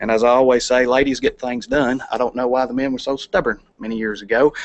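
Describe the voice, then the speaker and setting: The speaker has a Kentucky accent. Delivery is very fast with monotone, flat intonation. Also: man. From Kentucky, LaRue County. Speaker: plant operations manager, charity volunteer. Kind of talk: presentation to city council. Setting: council meeting.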